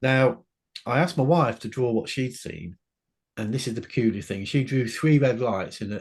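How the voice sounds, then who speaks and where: An unremarkable speaking voice from a man, medium in pitch, with lively intonation, a moderate pace, and a very clean recording over a silent background. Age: 60s. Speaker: author and UFO witness. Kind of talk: interview.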